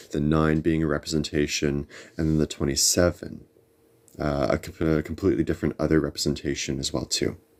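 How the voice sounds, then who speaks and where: Fairly quick mumbling in a monotone, flat intonation. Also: man. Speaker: tarot reader livestream host. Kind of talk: live stream chat. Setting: livestream.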